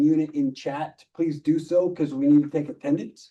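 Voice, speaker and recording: A man with a dark, mellow tone and fairly high pitch speaks at a moderate pace with fairly even intonation. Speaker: volunteer trainer. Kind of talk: training presentation. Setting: meeting room with online hybrid audience.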